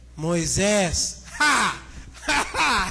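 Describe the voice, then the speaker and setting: A man performs a put-on character voice. Loud background noise fills the clip. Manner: eerie, laughing.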